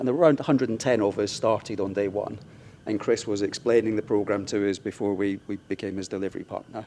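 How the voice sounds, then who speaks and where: Speaking fairly quickly with a British accent, a man has a fairly low pitch, a dark, mellow tone and fairly even intonation. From UK. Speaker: infrastructure executive. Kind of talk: conference panel discussion.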